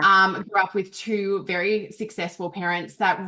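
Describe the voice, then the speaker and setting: Speaking at a fairly slow pace with an Australian accent, a woman has a medium pitch, a bright, sharp tone and fairly even intonation. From Australia, Canberra. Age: 30s. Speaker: business coach. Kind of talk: interview.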